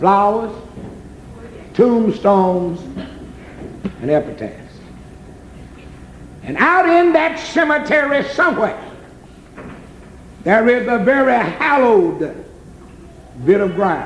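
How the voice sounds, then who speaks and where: Over noticeable background noise, a man with an American accent speaks very slowly at an extremely high pitch, his voice swinging very widely in pitch and broken by long, frequent pauses. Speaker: gospel preacher. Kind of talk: gospel sermon.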